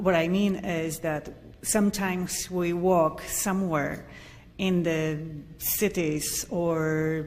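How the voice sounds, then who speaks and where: A woman speaks very slowly with fairly even intonation and a fairly low pitch. Noticeable background noise runs underneath. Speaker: audience member asking question. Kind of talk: audience question.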